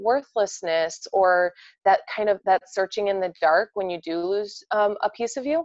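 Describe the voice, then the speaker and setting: A woman speaks with a Midwestern US accent. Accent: Midwestern US with sharp vowels. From US Midwest, Indiana near Chicago. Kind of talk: casual interview chat.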